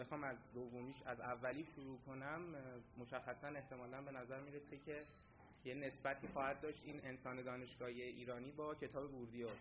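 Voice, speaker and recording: A man speaks at a medium pitch and a fairly quick pace. His intonation stays monotone and flat. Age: 20s. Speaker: graduate student presenter. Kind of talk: conference presentation.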